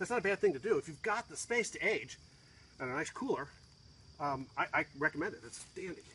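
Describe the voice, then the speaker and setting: Very fast speech with very wide pitch swings comes through over light background noise. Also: man. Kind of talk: tutorial. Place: garden. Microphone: phone near.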